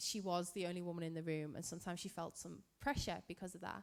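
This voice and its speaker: A woman speaks in a Liverpool accent. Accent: Scouse. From Liverpool, England. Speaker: physicist and event moderator. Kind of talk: Q&A interview.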